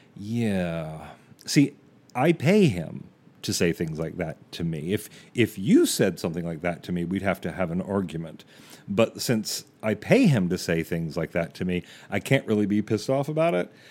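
Recorded very cleanly against a silent background, a man with a very deep, low voice speaks at a moderate pace with lively intonation. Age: 50s. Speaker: podcast host. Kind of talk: monologue.

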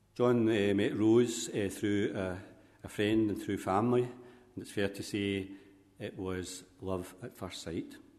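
A man with a plain, everyday voice, fairly low in pitch, at a fairly slow pace with fairly even intonation. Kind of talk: funeral homily with gentle family biography. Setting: church. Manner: warm, gently humorous, speaks directly to the widow.

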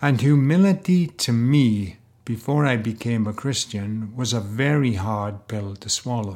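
A man talks at a fairly slow pace and a medium pitch with ordinary pitch variation. The recording is very clean, with a silent background. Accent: Welsh. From Wales. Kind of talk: faith talk monologue with personal testimony. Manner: casual with fillers.

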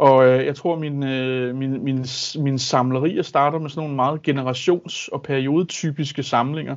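Fairly slow and monotone, a man speaks with flat intonation at a fairly high pitch. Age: 30s. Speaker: high school Danish teacher and collector. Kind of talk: casual interview. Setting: video call. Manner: halting, many fillers.

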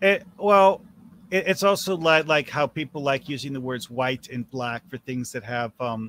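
A man talks at a moderate pace and medium pitch, with ordinary pitch variation and a normal speaking voice. The sound is dry and close, with no echo. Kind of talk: casual chat. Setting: video call.

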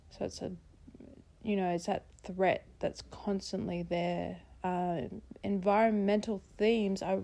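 A woman with an Australian accent speaks at a very slow pace in a dark, mellow tone. Her intonation is fairly even, and the background is quiet. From South East Queensland, Australia. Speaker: poet. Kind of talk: poetry reading.

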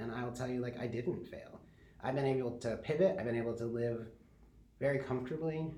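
Speaking at a fairly quick pace with an American accent, a man with a medium pitch, a dark, mellow tone and a somewhat breathy sound uses ordinary pitch variation, with audible room echo around him. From Michigan (Kalamazoo). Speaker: social media coordinator and design lecturer. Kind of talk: interview.

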